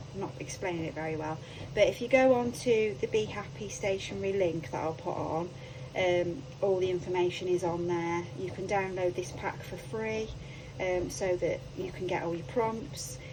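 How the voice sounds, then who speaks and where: Quiet and with a British accent, a woman speaks at a moderate pace with lively intonation, audible room echo and noticeable background noise. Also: fairly low pitch for a woman. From UK. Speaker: crafting YouTuber. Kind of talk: craft tutorial. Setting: home craft room. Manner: hesitant, many ums.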